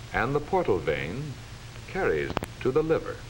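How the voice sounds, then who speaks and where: Here a man speaks at a moderate pace. Noticeable background noise sits behind him. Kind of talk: educational film narration.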